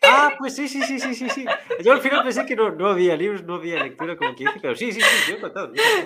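A man's raised, projected voice hits an extremely high pitch with very wide pitch swings. He talks at a very fast pace. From rural Galicia, Spain. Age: 20s. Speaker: podcast host. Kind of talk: casual chat.

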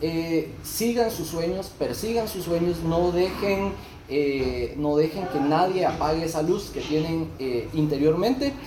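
Speaking in a Guatemalan accent, a man uses a high pitch, lively intonation and a very slow pace, with audible room echo and noticeable background noise. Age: 30s. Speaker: barber. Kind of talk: casual interview.

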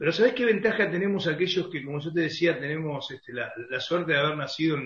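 A man talks in a normal speaking voice with a fairly high pitch. His pitch variation is ordinary. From Argentina, Concordia, Entre Ríos. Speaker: football radio commentator. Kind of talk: interview.

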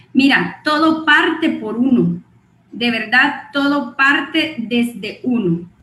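Very slow speech over noticeable background noise. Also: woman. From Guatemala. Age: 40s. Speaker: network marketing distributor and clinical psychologist. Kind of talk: motivational training talk.

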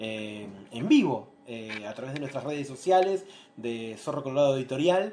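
A man with a fairly high pitch, lively intonation and a moderate pace. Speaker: interviewer for a publishing house. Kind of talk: live-streamed interview. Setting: live video stream, also on radio. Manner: halting, many fillers.

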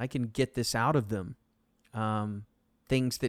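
A man with a Texan accent talks with fairly even intonation on a very clean recording with a silent background. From Texas, Arlington. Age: 40s. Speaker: sports radio host. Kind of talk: casual chat.

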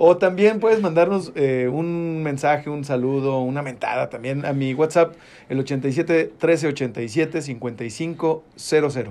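At a very slow pace with hardly any pauses, a man speaks in a dark, mellow tone. His pitch is fairly high, with ordinary variation. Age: 40s. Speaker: radio host. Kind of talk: casual chat.

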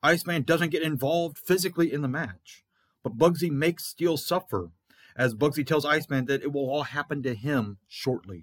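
Moving at a fairly quick pace, a man with an unremarkable speaking voice has fairly high pitch and ordinary pitch variation. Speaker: fantasy wrestling promoter and show host. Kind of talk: scripted-style play-by-play recap of fantasy wrestling results, like a ring announcer. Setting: podcast recording.

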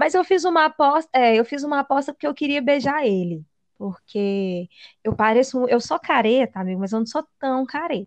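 At a moderate pace, a woman speaks in a high pitch, with a dry, close sound and no echo. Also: lively intonation, quiet background. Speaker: podcast co-host. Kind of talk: casual chat.

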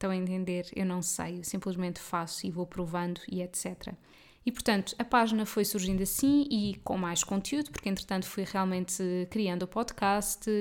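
A woman speaks in an ordinary speaking voice at a medium pitch, with ordinary pitch variation and a moderate pace. The recording is very clean, with a silent background. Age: 30s. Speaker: podcast host and nutritionist. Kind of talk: solo podcast monologue. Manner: casual. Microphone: good-quality USB mic.

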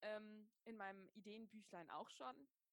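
A woman speaks at a fairly slow pace in an ordinary speaking voice, her pitch fairly high. Her intonation stays fairly even, and the sound is dry and close with no echo. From Germany, Wiesbaden (Hesse). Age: 30s. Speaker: yoga teacher and writer. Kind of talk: casual interview. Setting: video call.

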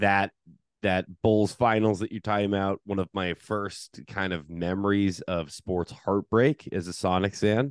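With an American accent and an unremarkable speaking voice, a man speaks at a fairly slow pace and fairly low pitch with fairly even intonation, the sound dry and close with no echo against a quiet background. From US Pacific Northwest (Seattle). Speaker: basketball podcast host. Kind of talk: casual chat.

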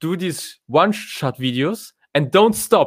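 A man with a German accent speaks in a fairly high voice with lively intonation on a very clean recording with a silent background. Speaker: content marketing podcaster and content manager. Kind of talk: live video session talking to viewers. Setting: live stream on social media. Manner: informal, conversational.

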